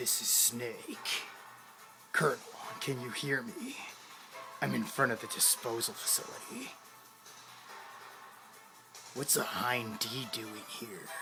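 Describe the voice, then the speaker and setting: A man's put-on character voice at a fairly slow pace over clear background noise. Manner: gravelly, tense radio-style.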